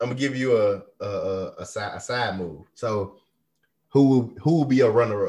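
In a very clean recording with a silent background, a man with an American accent speaks in a dark, mellow tone. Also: medium pitch for a man, ordinary pitch variation, moderate pace. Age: 30s. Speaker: podcast host. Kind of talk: casual chat. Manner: animated.

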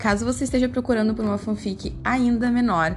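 Her voice somewhat breathy, a woman speaks at a moderate pace with ordinary pitch variation. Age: 20s. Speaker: student teacher presenting a class project. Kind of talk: scripted educational presentation.

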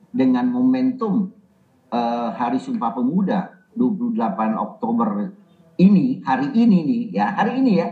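A man with a high-pitched voice swings his pitch very widely as he talks. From Indonesia, Banjarmasin, South Kalimantan. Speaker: senior politician. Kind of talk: casual interview.

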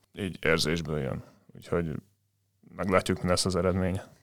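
This man talks at a fairly quick pace, captured in a very clean recording with a silent background. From Hungary, Dunaújváros. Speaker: volleyball player and law student. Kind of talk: casual interview.

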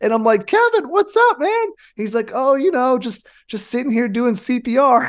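At a moderate pace, a man with an American accent speaks at an extremely high pitch. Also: lively intonation. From US West Coast. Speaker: firefighter podcast host. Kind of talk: casual chat.

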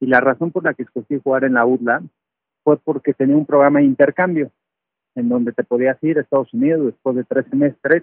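An unremarkable speaking voice from a man, fairly high in pitch, fairly quick, with fairly even intonation. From Mexico City. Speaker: retired American football player and sports analyst. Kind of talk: interview testimony.

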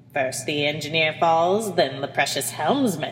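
A cackling, put-on character voice at a middle pitch runs at a moderate pace. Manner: cackling, gloating.

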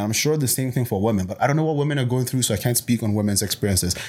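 A man of medium pitch talks at a very fast pace with hardly any pauses and ordinary pitch variation. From Botswana, Nigerian-born, in Canada since early teens. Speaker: personal trainer and bodybuilding competitor. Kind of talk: casual podcast interview.

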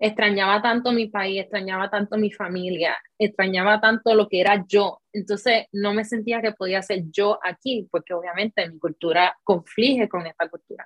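A woman speaks in a plain, everyday voice at medium pitch and a moderate pace, with fairly even intonation. She barely pauses, and her loudness swings widely. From Puerto Rico. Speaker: content creator. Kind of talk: interview.

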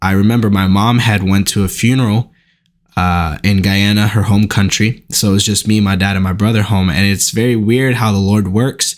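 A man with an American accent uses a normal speaking voice, fairly low in pitch, at a moderate pace with fairly even intonation and very even loudness, on a very clean recording with a silent background. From Newark, New Jersey, US. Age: 20s. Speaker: Bible college student and aspiring pastor. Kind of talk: casual chat.

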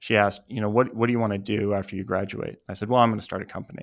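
A man's fairly low voice with an American accent, monotone and flat, on a very clean recording with a silent background. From US Northeast, New Jersey. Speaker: tech startup founder. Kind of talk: interview. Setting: studio.

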